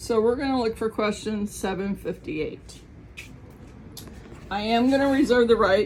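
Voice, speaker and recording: A woman speaks with an American accent, her intonation lively and her voice carrying vocal fry. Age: 60s. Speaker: YouTuber. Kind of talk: casual vlog chat. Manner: chatty, with filler ums.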